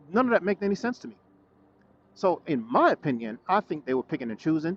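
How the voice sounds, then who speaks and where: A high-pitched man's voice, very fast yet broken by long, frequent pauses, with very wide pitch swings, big swings in loudness, and a dry, close sound with no echo. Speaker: motorcycle vlogger. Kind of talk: casual vlog monologue. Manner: stuttering.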